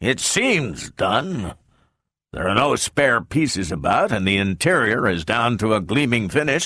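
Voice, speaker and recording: On a very clean recording with a silent background, a man puts on a gruff character voice at a medium pitch. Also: moderate pace. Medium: read story. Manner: gruff, peevish.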